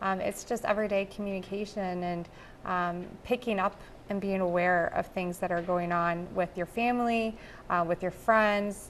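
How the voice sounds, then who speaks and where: A woman speaks at a moderate pace with an American accent and fairly even intonation. Light noise sits in the background. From Dubuque, Iowa, US Midwest; Iowa. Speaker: anti-trafficking nonprofit board member; guest. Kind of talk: TV interview. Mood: earnest, heartfelt. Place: studio.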